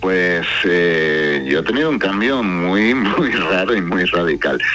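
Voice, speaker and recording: A man with a Spanish accent speaks at a very slow pace, his very deep, low pitch carried on lively intonation. Audible room echo and noticeable background noise fill the recording. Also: very even loudness. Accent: Spanish, slightly diluted by deep voice. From Spain, Cádiz. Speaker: singer-songwriter. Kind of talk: radio interview.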